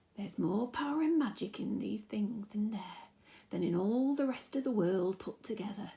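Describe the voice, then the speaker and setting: A woman's whispering, creaky put-on character voice at a moderate pace. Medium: read story. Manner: whispering, slow.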